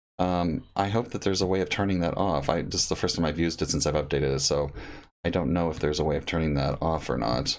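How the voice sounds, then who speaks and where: A man's very deep, low voice with vocal fry, very fast delivery, very even loudness and ordinary pitch variation. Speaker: photography educator. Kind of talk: tutorial. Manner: casual, halting with fillers.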